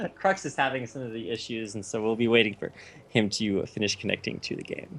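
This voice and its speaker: A man's medium-pitched voice at a fairly quick pace with ordinary pitch variation. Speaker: esports caster. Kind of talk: live commentary. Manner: fast.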